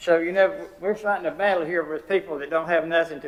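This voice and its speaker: A man speaks with a western North Carolina accent. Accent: Southern US, western North Carolina. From US South. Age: 80s+. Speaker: public commenter. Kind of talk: public comment speech.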